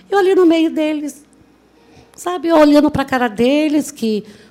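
The speaker sounds animated, with lively intonation at a fairly slow pace. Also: woman. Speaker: motivational speaker, law graduate. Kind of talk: motivational talk.

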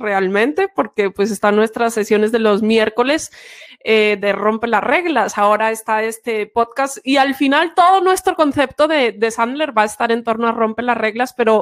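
A woman speaks at a moderate pace and a fairly high pitch. She has a normal speaking voice. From Spain, Santiago de Compostela (Galicia). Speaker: sales trainer, podcast co-host. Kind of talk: casual chat.

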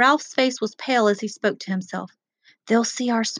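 Someone reads in an unforced voice while the background stays quiet.

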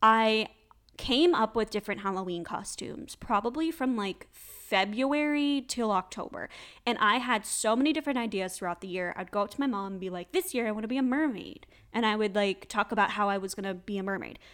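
A woman speaks in an ordinary speaking voice, fairly high-pitched and with lively intonation, at a fairly quick pace in a very clean recording with a silent background. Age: 20s. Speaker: podcast host. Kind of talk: casual solo chat.

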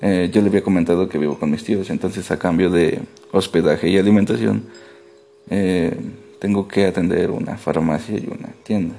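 Over noticeable background noise, a man talks at a moderate pace with a very deep, low pitch and ordinary pitch variation. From Mexico, rural Veracruz. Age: 20s. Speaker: nurse, therapy client. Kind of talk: role-played therapy intake interview.

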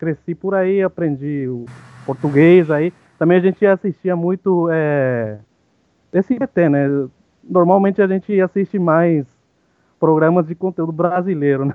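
A man talks in a high voice with ordinary pitch variation. His delivery is fairly slow, broken by long, frequent pauses. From Paraguay, Ciudad del Este. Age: 30s. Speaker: podcast guest. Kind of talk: casual chat. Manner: halting.

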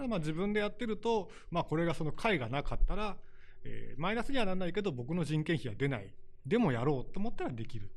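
Very wide pitch swings mark this man's high voice. He talks at a very fast pace. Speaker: small publisher owner. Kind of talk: interview.

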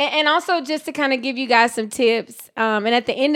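A woman speaks with lively intonation at a moderate pace. The recording is very clean, with a silent background. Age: 30s. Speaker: podcast co-host. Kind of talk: casual chat.

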